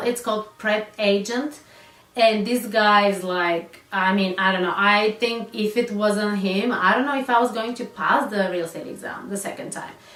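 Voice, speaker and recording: With a non-native accent, the speaker moves at a moderate pace with ordinary pitch variation. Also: woman. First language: not English. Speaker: real estate agent. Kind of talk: casual talk to camera.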